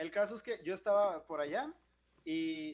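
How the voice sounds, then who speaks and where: A man speaks with a Mexican accent and lively intonation. His pitch is high. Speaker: podcast co-host. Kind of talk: casual chat.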